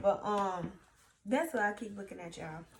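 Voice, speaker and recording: At a moderate pace, a woman talks with a Louisiana accent. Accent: Southern US (Louisiana). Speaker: YouTuber. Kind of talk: casual vlog talk.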